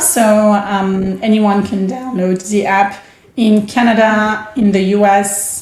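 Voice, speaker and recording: Audible room echo fills the space. A woman's voice rings out at a fairly high pitch. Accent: French. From France. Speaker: startup founder. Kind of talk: podcast interview.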